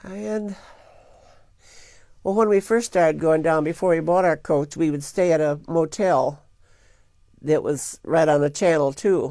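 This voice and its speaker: A woman speaks with a Midwestern US accent at a fairly low pitch. She takes long, frequent pauses, and the recording is very clean, with a silent background. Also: ordinary pitch variation, fairly slow pace. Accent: US Midwest. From Michigan. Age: 70s. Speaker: grandmother telling life story. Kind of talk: oral history interview.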